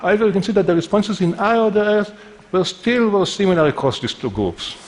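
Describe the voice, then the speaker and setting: A man with a non-native accent, high-pitched and very fast, with ordinary pitch variation and noticeable background noise. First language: not English. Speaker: neuroscientist. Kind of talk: conference talk.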